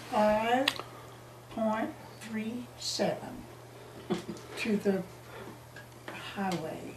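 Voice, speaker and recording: Noticeable background noise sits behind a woman at a fairly high pitch with ordinary pitch variation. She talks at a very slow pace with long, frequent pauses. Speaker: local resident telling history. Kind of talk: oral history interview answer. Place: home room.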